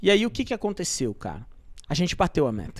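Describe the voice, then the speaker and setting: Over a quiet background, someone speaks at a fairly quick pace. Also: man. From São Paulo, Brazil. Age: 30s. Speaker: marketplace entrepreneur; podcast guest. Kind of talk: casual interview storytelling. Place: studio. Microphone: studio mic.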